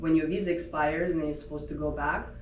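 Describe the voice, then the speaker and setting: A woman with a very deep, low voice speaks in a Russian accent, with noticeable background noise and audible room echo. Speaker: home staging business owner. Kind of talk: interview. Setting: podcast.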